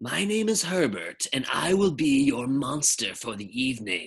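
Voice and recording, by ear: A put-on character voice sits at a low-to-middle pitch and sounds breathy. It moves at a moderate pace.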